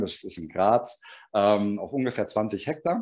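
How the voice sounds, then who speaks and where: A man talks in an unremarkable speaking voice at a fairly low pitch. His pace is moderate. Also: quiet background. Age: 40s. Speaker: pet food company sales manager. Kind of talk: webinar presentation.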